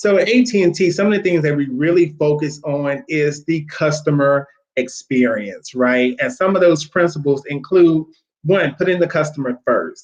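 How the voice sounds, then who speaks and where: Fairly high in pitch, a man talks at a moderate pace with lively intonation. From Louisiana, US South. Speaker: corporate recruiter, Navy veteran. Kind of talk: webinar interview.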